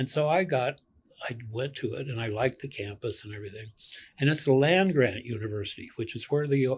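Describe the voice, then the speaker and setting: A man speaks at a fairly quick pace with a Western US accent, his medium-pitched voice somewhat breathy. Loudness swings widely, while pitch varies in an ordinary way. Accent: US Western American. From rural Colorado, US. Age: 70s. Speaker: retired clinical social worker. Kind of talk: podcast interview, life story.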